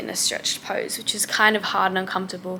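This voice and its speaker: Over noticeable background noise, a woman with an Australian accent speaks at a medium pitch with fairly even intonation. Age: 20s. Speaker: vlogger. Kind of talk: travel vlog. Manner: casual.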